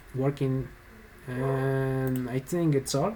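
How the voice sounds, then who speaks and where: Speaking very slowly with a Spanish accent, a man with a medium pitch is heard over noticeable background noise. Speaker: software developer, tutorial YouTuber. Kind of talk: tutorial. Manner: halting, hesitant.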